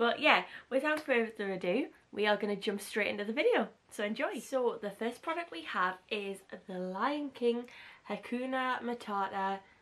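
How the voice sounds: Fairly bright tone with lively intonation at a moderate pace. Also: woman, medium pitch for a woman.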